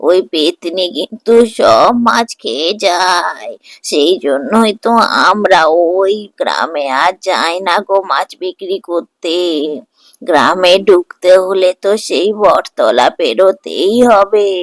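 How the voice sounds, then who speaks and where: A female-sounding, cartoonish character voice sits at a medium pitch for a woman. It moves at a very slow pace. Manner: chatty, motherly.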